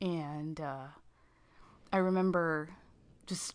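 A woman's fairly low voice with ordinary pitch variation, at a very slow pace against a quiet background. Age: 30s. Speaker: podcast co-host. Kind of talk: casual chat.

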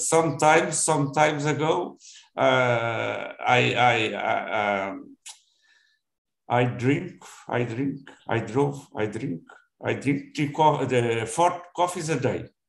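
Speaking at a very slow pace with long, frequent pauses, a man with a Portuguese accent uses a fairly high pitch, ordinary pitch variation and vocal fry. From Portugal. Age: 70s. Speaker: retiree practicing English. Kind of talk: casual conversation practice. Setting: video call. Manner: halting.

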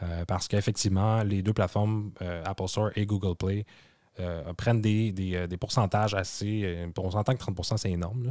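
In a very clean recording with a silent background, a man with a Quebec accent speaks at a moderate pace with fairly low pitch, a dark, mellow tone and fairly even intonation. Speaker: tech podcast co-host. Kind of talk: casual chat.

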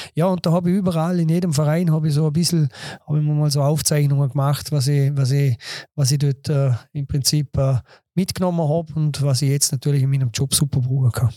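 In a Vorarlberg accent, a somewhat breathy voice with a dark, mellow tone runs at a very fast pace with fairly even intonation and very even loudness, the sound dry and close with no echo. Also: man, fairly high pitch for a man. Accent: Vorarlberg Alemannic dialect. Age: 50s. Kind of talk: casual interview chat.

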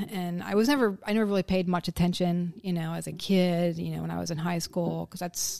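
A woman keeps a moderate pace in this very clean recording with a silent background. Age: 50s. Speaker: stay-at-home mother of the host. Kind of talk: casual interview.

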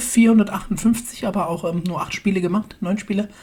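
A woman with a medium-pitched voice speaks fairly slowly. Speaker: podcast host. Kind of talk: casual chat.

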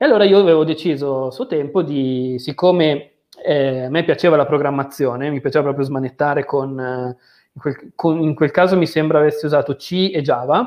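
A man with a slight Milanese accent, fairly high-pitched, at a moderate pace with ordinary pitch variation. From Milan area, northern Italy. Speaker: mathematics graduate working in software analysis. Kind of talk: casual interview on livestream.

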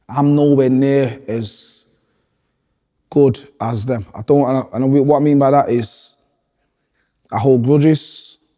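In a northern English accent, the speaker talks at a very slow pace with long, frequent pauses and a dark, mellow tone. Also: man, medium pitch for a man. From Manchester, northern England. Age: 30s. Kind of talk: interview. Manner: animated.

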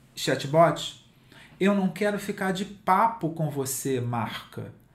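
In a space with audible room echo, a man speaks at a fairly slow pace with lively intonation. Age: 50s. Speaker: digital content writing specialist and author. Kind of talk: interview.

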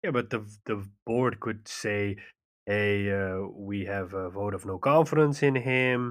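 A man speaks in a plain, everyday voice, fairly low in pitch, over a quiet background. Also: ordinary pitch variation, fairly slow pace. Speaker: podcast host, PlayStation fan. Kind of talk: casual chat.

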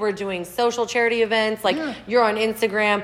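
A woman with an American accent speaks at a moderate pace in a fairly high pitch, with noticeable background noise. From Texas, Houston. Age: 30s. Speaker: podcast guest host, nurse administrator. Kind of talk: casual chat.

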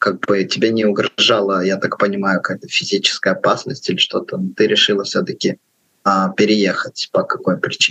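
A man's voice with a dry, close sound and no echo. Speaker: podcast co-host. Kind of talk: podcast interview.

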